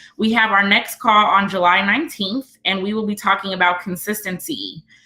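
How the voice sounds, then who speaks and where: A woman's medium-pitched voice at a fairly quick clip, with ordinary pitch variation and noticeable background noise. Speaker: business coach. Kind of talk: teleconference presentation. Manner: fast.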